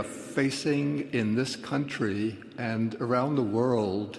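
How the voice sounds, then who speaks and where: Noticeable background noise plays as a man talks with an American accent. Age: 80s+. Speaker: Buddhist monk. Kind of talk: panel remarks.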